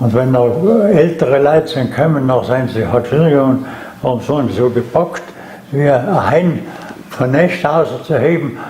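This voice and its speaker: A man speaks in a South Tyrolean accent with ordinary pitch variation and very even loudness. Background noise is noticeable. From South Tyrol, Ulten valley. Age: 90s. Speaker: eyewitness, war veteran. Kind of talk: interview answer.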